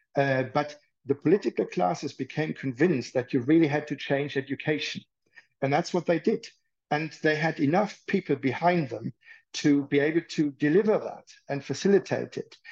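There's a German accent in this man's speech. He keeps a moderate pace. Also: fairly high pitch for a man, ordinary pitch variation, dry, close sound with no echo. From Germany, rural. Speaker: psychiatrist. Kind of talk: interview.

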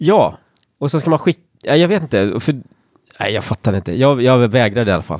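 Recorded dry and close with no echo, a man at medium pitch talks at a fairly quick pace with very wide pitch swings and long, frequent pauses. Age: 40s. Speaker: actor. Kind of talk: casual chat.

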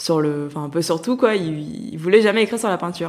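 Her fairly low-pitched voice moves at a fairly quick pace as the woman talks. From France, Lyon. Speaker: art critic. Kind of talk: interview. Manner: hesitant, many fillers.

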